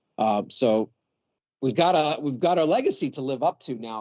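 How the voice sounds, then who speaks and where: A man speaks with lively intonation. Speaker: university student media administrator. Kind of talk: meeting presentation. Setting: meeting room with audience, no microphone. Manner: loud. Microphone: speaking without a microphone.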